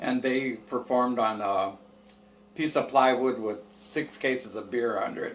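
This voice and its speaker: A man with an American accent at medium pitch, fairly slow in pace and fairly even in intonation, over noticeable background noise. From US Midwest, Fort Wayne, Indiana. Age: 80s+. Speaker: retired female impersonator, bar owner. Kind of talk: interview storytelling.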